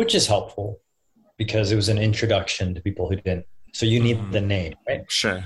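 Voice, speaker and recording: A man talks at a fairly quick pace in a fairly low, somewhat breathy voice. His intonation stays fairly even. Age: 40s. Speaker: spiritual guide and leadership consultant. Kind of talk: casual interview conversation.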